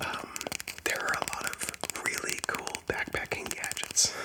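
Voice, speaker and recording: Whispering is heard against noticeable background noise. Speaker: ASMR content creator. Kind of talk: ASMR rambling talk to camera.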